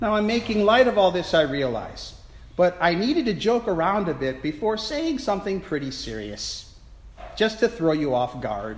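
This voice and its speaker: With audible room echo, a man speaks at a moderate pace in a high pitch that moves in very wide swings. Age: 50s. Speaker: priest. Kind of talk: sermon. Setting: church.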